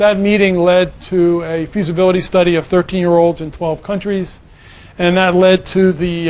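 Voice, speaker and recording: A man speaks with a high pitch in an American accent, his intonation flat and monotone. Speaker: assessment researcher. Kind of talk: conference presentation. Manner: fast.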